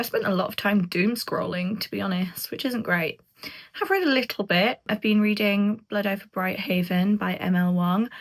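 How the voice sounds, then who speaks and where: Somewhat breathy, a woman's medium-pitched voice holds a fairly even intonation. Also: moderate pace. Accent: British. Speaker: book vlogger. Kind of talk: casual vlog talk to camera.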